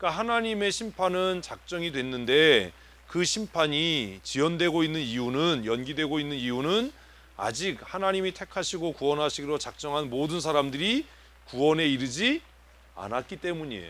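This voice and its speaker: The man has a fairly high pitch. His intonation is lively. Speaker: pastor. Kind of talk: sermon. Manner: fast.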